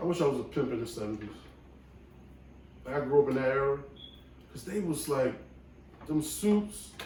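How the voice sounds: In a room with strong echo, a man with a dark, mellow tone and medium pitch speaks at a moderate pace with lively intonation.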